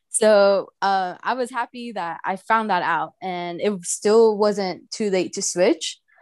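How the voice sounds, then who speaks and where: A woman at a medium pitch with ordinary variation, at a very slow pace with hardly any pauses, over a quiet background. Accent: Spanish. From Mexico, raised in Houston, Texas. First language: Spanish. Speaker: museum outreach specialist and baker. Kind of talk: casual interview.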